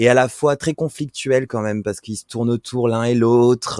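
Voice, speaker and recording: A man speaks fairly slowly at a medium pitch. The sound is dry and close with no echo, a very clean recording with a silent background. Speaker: podcast guest. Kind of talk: interview answer. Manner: hesitant, many filler sounds.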